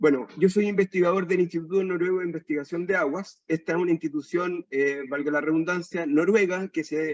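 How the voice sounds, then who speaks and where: A moderate pace and fairly even intonation, in a dry, close sound with no echo. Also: man. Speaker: aquaculture researcher. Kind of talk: lecture.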